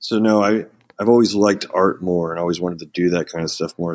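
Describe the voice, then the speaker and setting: In an American accent, a man with a very deep, low pitch talks at a fairly quick pace with fairly even intonation over a very clean recording and a silent background. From Oklahoma, Ponca City. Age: 30s. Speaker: metal band vocalist. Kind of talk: casual interview chat.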